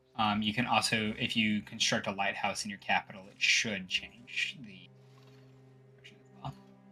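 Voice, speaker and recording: Over music in the background, a man speaks at a moderate pace with a fairly low pitch, ordinary pitch variation and big swings in loudness. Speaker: gaming streamer. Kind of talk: casual chat. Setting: live stream.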